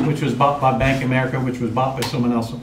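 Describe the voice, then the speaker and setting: A man speaks over noticeable background noise. The room echo is audible. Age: 60s. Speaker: mortgage trainer. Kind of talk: training session. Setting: room with live audience, filmed.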